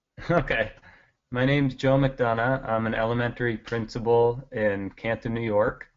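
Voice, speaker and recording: With an American accent, a man speaks in an unremarkable speaking voice at medium pitch, using fairly even intonation at a moderate pace. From Maine, US. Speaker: school principal, doctoral student. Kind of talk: self-introduction. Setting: webinar.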